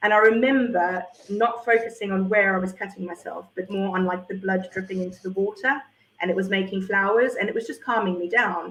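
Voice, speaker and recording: Speaking at a fairly quick pace, a woman with a South African accent uses medium pitch and fairly even intonation. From South Africa, Port Elizabeth. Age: 40s. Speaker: former teacher. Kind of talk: testimony. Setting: live stream.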